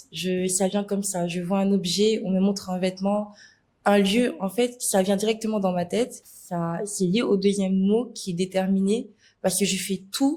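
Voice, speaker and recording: Fairly even intonation shapes the speech. The tone is dark and mellow, and the pace moderate. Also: woman. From Senegal, Dakar. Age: 20s. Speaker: influencer. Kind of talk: interview.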